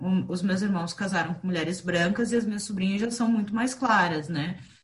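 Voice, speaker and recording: Some breathiness runs through this voice. The rise and fall of its pitch is ordinary. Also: woman. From southern Brazil, raised in Curitiba. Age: 30s. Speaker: podcast co-host, entrepreneur. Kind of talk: casual group conversation.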